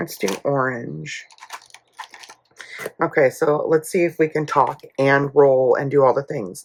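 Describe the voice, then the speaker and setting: A woman speaks at a fairly slow pace with ordinary pitch variation. Her pitch is very deep and low. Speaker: budgeting youtuber. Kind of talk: casual chat. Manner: chatty, with fillers.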